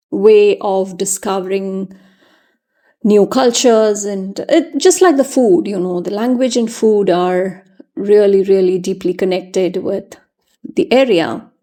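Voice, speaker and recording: A woman with a Keralan accent speaks at a fairly slow pace in a dark, mellow tone. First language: Malayalam. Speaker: journaling youtuber. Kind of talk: tutorial voiceover. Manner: casual, with frequent fillers.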